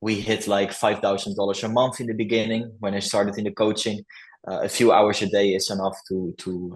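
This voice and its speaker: A man with a Dutch accent talks at a fairly quick pace in a fairly low voice, his intonation fairly even. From Netherlands. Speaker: coaching client, YouTube channel owner. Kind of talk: interview testimonial. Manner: halting, with fillers.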